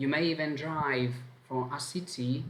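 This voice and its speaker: In a strong Italian accent, a man talks at a fairly high pitch with fairly even intonation. Room echo is audible. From Italy. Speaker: language teacher. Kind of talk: online lesson.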